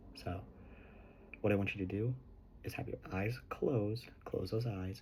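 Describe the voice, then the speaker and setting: A man talks at a fairly slow pace in a fairly low, dark and mellow voice that is somewhat breathy, with ordinary pitch variation. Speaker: ASMR creator. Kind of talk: ASMR guided visualization. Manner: slightly quieter than normal, not quite soft-spoken.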